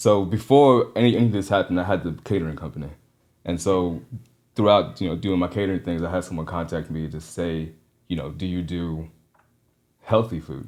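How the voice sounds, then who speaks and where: A man with a very deep, low pitch and ordinary pitch variation speaks at a fairly quick pace, leaving long, frequent pauses. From Trinidad. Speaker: caterer and meal prep business owner. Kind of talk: casual interview.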